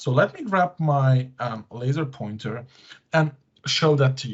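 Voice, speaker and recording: Speaking with a non-native accent, this man has a medium pitch and ordinary pitch variation. His voice is somewhat breathy. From Belgium. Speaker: tech conference speaker. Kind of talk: tech presentation with demos. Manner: hesitant, many fillers.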